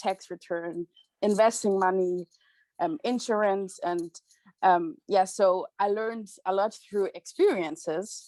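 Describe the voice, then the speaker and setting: Speaking fairly slowly with a German accent, a woman uses a medium pitch and ordinary pitch variation, the sound dry and close with no echo. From Germany. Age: 20s. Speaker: student and youth association leader. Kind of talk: personal testimony.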